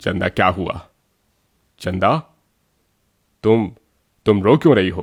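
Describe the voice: Using a cartoonish character voice, a man with a low pitch and a slightly husky edge speaks at a slow pace with lively intonation.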